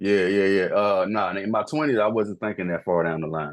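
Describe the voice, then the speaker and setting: A man with an ordinary speaking voice, a fairly low pitch and ordinary pitch variation. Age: 30s. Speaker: podcast guest. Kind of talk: casual chat.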